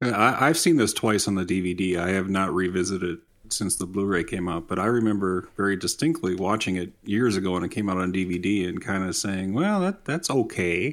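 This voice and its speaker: A man with an unremarkable speaking voice and an American accent talks at a fairly quick pace in a fairly low pitch with ordinary pitch variation, on a very clean recording with a silent background. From Minnesota. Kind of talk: casual chat.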